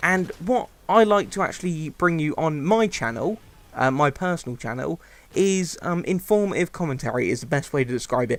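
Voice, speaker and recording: A man speaks at a moderate pace with a high voice. His intonation is lively. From UK. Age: 20s. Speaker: gaming YouTuber, commentator. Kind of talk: gameplay commentary, casual monologue. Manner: hesitant, many fillers.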